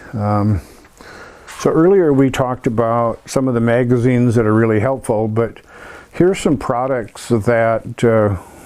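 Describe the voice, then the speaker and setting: Noticeable background noise sits behind a man's medium-pitched voice. He speaks at a fairly slow pace with ordinary pitch variation. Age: 60s. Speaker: motorcycle restorer. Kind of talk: tutorial. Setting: workshop. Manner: halting, many fillers.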